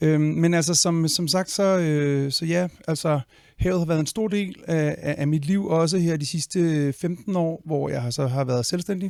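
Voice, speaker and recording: On a very clean recording with a silent background, a man speaks fairly slowly at a fairly high pitch with fairly even intonation. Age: 40s. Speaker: conservationist and spearfisher. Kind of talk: podcast interview. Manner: halting, many fillers and repetitions.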